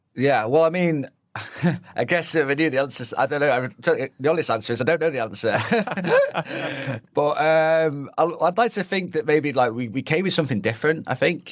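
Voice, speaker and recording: A man with a strong British accent and a fairly high pitch speaks at a moderate pace, hardly pausing at all. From northern England. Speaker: chef. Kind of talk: podcast interview answer. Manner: casual, hesitant.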